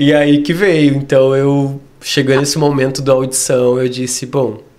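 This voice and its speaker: Noticeable background noise and audible room echo accompany a man's fairly high, monotone, flat delivery. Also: fairly slow pace. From Brazil, Rio Grande do Sul (Torres). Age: 30s. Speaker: dance teacher. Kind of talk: interview. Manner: clear, articulate.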